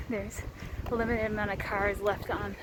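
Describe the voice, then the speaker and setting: A woman's fairly high voice at a moderate pace, over noticeable background noise. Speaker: hiking vlogger. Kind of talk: vlog narration. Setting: outdoors. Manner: casual with fillers; keeping voice down.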